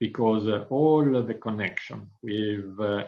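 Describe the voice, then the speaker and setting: A man talks with an Italian accent. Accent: Italian accent, non-native English. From northern Italy. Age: 50s. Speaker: business executive. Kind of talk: interview. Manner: frequent hesitations (uh).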